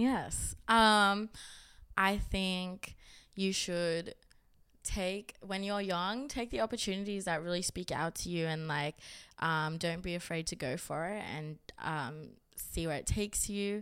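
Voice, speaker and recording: A woman with an Australian accent speaks at a fairly slow pace with ordinary pitch variation. The recording is very clean, with a silent background. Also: medium pitch for a woman. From Sydney, Upper North Shore. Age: 20s. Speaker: creative and platform founder. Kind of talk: casual chat.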